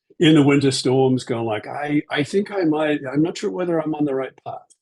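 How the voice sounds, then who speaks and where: A man with a New Zealand accent, ordinary pitch variation and a moderate pace. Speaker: aviation executive and pilot. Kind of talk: interview. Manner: hesitant with many fillers.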